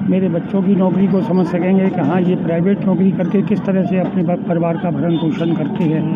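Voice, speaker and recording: Against noticeable background noise and audible room echo, a man speaks at a high pitch with monotone, flat intonation, very even loudness and hardly any pauses. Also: moderate pace. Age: 80s+. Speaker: elderly local resident interviewed. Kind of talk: street interview.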